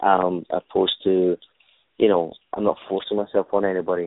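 Speaking in a Glaswegian accent, a man keeps a moderate pace. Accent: Glaswegian Scottish. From Scotland, Glasgow. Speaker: stuntman and stunt choreographer. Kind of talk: interview.

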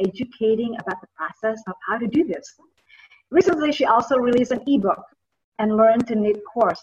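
A somewhat breathy woman's voice, fairly high in pitch, with ordinary pitch variation at a moderate pace. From Indonesia. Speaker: podcast host. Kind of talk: interview. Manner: halting, many fillers.

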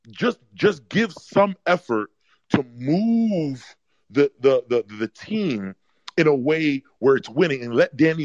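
At a very slow pace, a man with an American accent speaks at a fairly high pitch, his voice swinging very widely in pitch. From New York. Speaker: caller. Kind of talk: casual chat.

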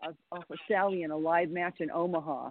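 A woman speaks in a normal speaking voice at a moderate pace. Her pitch is fairly low. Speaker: women's wrestler. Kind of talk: casual chat. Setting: phone call.

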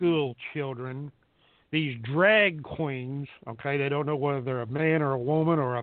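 The man's speech moves at a fairly slow pace.

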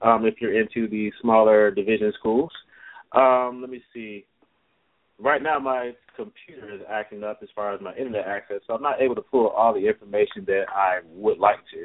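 A man with an American accent has a plain, everyday voice at a medium pitch. His intonation is fairly even, but his loudness swings widely. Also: moderate pace. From Chicago. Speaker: sports talk co-host, former college football recruit. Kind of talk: casual sports chat.

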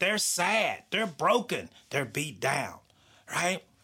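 Recorded very cleanly against a silent background, the speaker uses an American accent with a bright, sharp tone at a moderate pace. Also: man. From US South. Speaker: podcast host and author. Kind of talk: motivational monologue.

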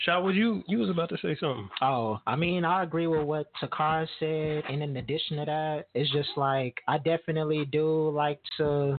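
Moving at a moderate pace with hardly any pauses, a man with a fairly high pitch uses a plain, everyday voice and ordinary pitch variation. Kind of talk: interview.

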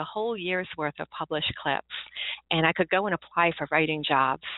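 With an American accent, a woman talks at a moderate pace in a fairly low pitch, using ordinary pitch variation and an unremarkable speaking voice. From US Maryland. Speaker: novelist. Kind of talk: casual interview. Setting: phone call.

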